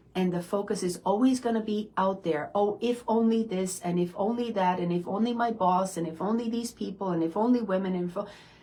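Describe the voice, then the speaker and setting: The speech moves at a fairly quick pace with hardly any pauses, against noticeable background noise. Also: woman, medium pitch for a woman. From immigrant, foreign-born. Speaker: self-development coach, hypnotherapist. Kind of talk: motivational talk. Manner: animated.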